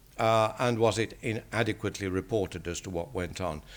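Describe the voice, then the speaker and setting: On a very clean recording with a silent background, a man with an English accent speaks at a moderate pace, his medium pitch showing ordinary variation. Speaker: statistician. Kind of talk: lecture.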